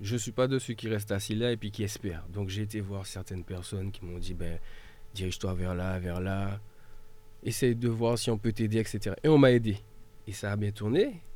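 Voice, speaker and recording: Speaking at a moderate pace, a man uses a normal speaking voice with fairly low pitch and fairly even intonation. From mainland France, after early childhood in Martinique. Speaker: volunteer firefighter and local political activist. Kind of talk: radio panel discussion.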